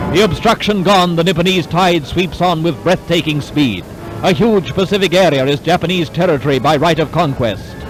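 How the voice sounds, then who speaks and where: With music in the background, a man delivers lines in a dramatic tone at high pitch, ordinary pitch variation and a moderate pace. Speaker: newsreel narrator. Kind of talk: wartime newsreel narration.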